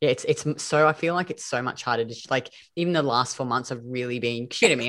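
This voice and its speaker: Captured in a very clean recording with a silent background, a woman with an Australian accent speaks at a very deep, low pitch with fairly even intonation. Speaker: podcast host and metabolism coach. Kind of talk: casual interview chat.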